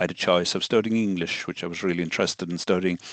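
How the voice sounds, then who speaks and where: Recorded dry and close with no echo against a quiet background, a man with an Irish accent speaks in a very deep, low pitch with ordinary pitch variation. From southern Ireland. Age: 60s. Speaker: solicitor and law lecturer. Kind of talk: interview conversation. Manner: hesitant, many fillers.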